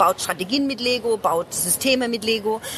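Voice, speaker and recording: Music plays in the background as a woman speaks at a moderate pace with a fairly high pitch. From Germany, Ludwigshafen (Palatinate). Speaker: business consultant, speaker and lawyer. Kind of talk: casual interview. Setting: book fair.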